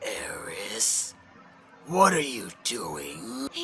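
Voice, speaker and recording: A raspy, put-on character voice from a man, over clear background noise. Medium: game stream. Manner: menacing, sneering.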